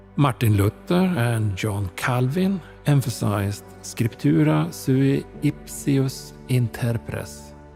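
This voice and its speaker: With music in the background, a man speaks very slowly in a calm tone at a fairly low pitch, his pitch swinging very widely. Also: very even loudness. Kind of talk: sleep reading of encyclopedia text. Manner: slow, calm.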